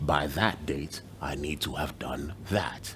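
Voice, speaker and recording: Vocal fry runs through a man's speech, which has ordinary pitch variation. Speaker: journalist; broadcaster. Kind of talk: motivational video address. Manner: soft-spoken.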